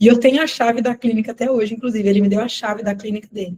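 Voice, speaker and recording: A woman talks at a very fast pace in a fairly high pitch. Her tone is dark and mellow and somewhat breathy. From Brazil, Minas Gerais family (born elsewhere). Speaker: nutritionist and business mentor. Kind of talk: live sales webinar.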